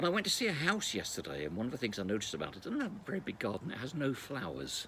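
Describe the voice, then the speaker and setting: A man talks at a very fast pace, with vocal fry. His pitch swings very widely. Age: 60s. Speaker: former local radio broadcaster. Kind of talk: personal video reflection. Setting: outdoors.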